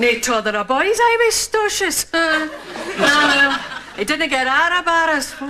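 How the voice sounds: A woman uses a put-on character voice with a high pitch, a bright, sharp tone and lively intonation at a fairly slow pace. Faint background noise includes faint crowd noise in the background.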